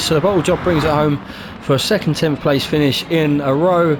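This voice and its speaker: A man's fairly high voice at a very fast clip, with noticeable background noise. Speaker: sim racing league commentator and driver. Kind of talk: live race commentary. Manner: stutters at times.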